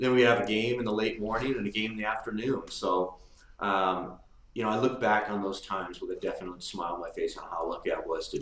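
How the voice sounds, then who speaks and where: With an American accent, a man with a fairly low pitch talks at a fairly quick pace and ordinary pitch variation, amid noticeable background noise and audible room echo. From Marin County, California. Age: 50s. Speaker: former basketball player. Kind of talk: interview.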